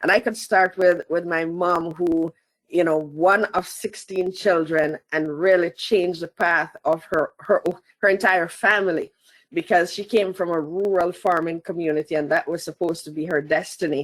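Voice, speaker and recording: Moderate pace and fairly even intonation with a slight Jamaican accent, in a dry, close sound with no echo. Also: woman, fairly low pitch for a woman. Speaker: asset management consultant. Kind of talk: interview.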